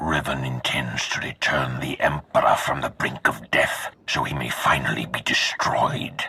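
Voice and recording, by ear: A put-on character voice with a bright, sharp tone and a husky, rough edge moves at a fairly slow pace with fairly even intonation. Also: man, extremely low pitch for a man.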